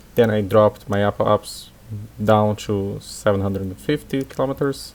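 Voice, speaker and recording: Speaking at a moderate pace with a non-native accent, a man uses a fairly low pitch and fairly even intonation. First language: not English. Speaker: gaming YouTuber. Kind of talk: gameplay commentary. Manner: halting.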